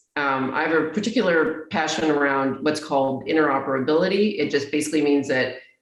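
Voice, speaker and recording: A woman with an American accent speaks in a very deep, low pitch, with audible room echo. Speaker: technology executive. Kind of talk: interview conversation. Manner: slower and lower when asserting herself.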